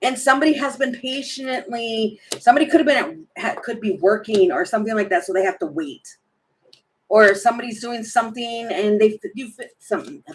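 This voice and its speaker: A put-on character voice, raspy and fairly high in pitch. It moves at a fairly quick pace. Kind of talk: casual, rambling. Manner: stuttering, stumbling over words.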